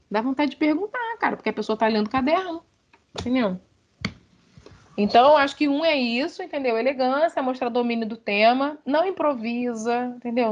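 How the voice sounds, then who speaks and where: Animated in tone, a woman speaks at a high pitch with ordinary pitch variation. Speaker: university lecturer. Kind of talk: online lecture. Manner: fast.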